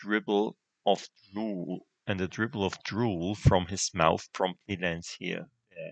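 A natural reading voice keeps to fairly even intonation while the background stays quiet.

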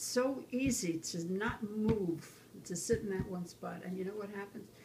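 A woman speaks in a somewhat breathy voice with a dark, mellow tone and ordinary pitch variation, over noticeable background noise. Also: moderate pace. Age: 80s+. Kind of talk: interview answer. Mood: earnest, encouraging. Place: kitchen. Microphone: phone near.

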